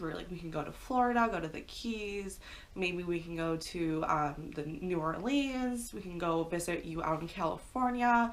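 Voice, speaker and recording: Barely pausing, a woman with a Midwestern accent talks at a fairly low pitch with lively intonation, amid audible room echo. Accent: American Midwest. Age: 20s. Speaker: pet YouTuber. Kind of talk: story time monologue. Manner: fast; casual, chatty.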